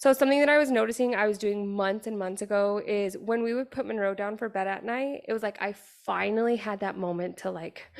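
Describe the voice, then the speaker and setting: A woman speaks in an animated tone. She moves at a fairly quick pace with hardly any pauses. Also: medium pitch for a woman, ordinary pitch variation. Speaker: podcast host and mindset coach. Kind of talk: casual solo podcast talk. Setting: home gym in garage. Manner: loud.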